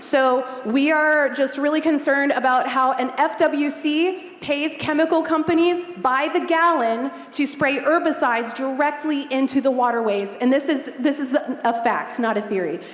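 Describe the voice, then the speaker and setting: At a moderate pace and with hardly any pauses, a woman talks in a high pitch with ordinary pitch variation and very even loudness, over noticeable background noise. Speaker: eco tour company owner. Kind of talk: audience question at Q&A.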